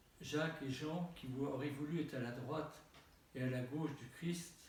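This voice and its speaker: Very slow speech from a man, fairly high in pitch with ordinary variation, plus audible echo in the room. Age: 70s. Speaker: Orthodox bishop. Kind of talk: sermon. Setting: church. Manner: halting.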